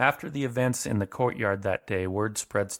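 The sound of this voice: The delivery is an unforced reading voice. Its pitch varies in an ordinary way.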